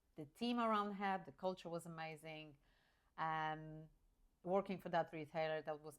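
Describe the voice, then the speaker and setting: A woman with a Polish accent speaks in a very deep, low voice with fairly even intonation. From rural Poland. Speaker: career coach. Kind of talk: personal story monologue. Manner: hesitant, with fillers and restarts.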